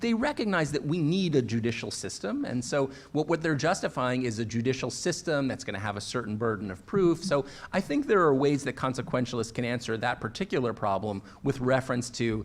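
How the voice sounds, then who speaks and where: Lively intonation marks a man's plain, everyday voice. He has a medium pitch and a fairly quick pace. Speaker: law professor and author. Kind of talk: panel discussion.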